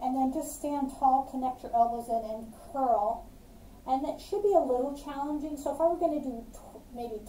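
A woman with a high pitch and ordinary pitch variation is heard with audible room echo and light background noise. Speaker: fitness instructor. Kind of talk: tutorial. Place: home room. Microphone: camera far.

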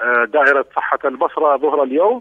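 A man speaks against a quiet background. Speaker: provincial government spokesman. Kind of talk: interview answer. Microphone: phone line.

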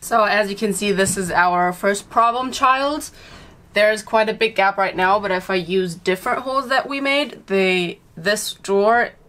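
Her tone is bright and sharp as a woman speaks at a moderate pace. Pitch variation is ordinary. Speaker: van builder vlogger. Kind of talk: casual vlog chat. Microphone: camera far.

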